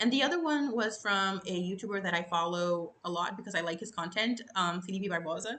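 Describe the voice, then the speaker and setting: A woman's medium-pitched voice carries a bright, sharp tone and lively intonation. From Brazil. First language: Portuguese. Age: 20s. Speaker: YouTuber. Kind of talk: unscripted storytelling to camera. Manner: casual, filler-heavy.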